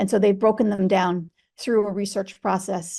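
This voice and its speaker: A woman's voice at a moderate pace and medium pitch. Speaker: veterinary social work professor. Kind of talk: webinar lecture. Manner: halting, many fillers.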